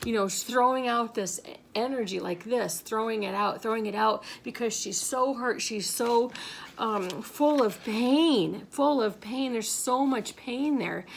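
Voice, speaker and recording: A woman's fairly high voice with ordinary pitch variation at a fairly slow pace. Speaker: spiritual reader. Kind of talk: spiritual monologue. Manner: halting.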